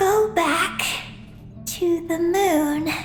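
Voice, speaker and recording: A cartoonish character voice that sounds female comes through at an extremely high pitch over clear background noise. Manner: halting, fragmented, panting.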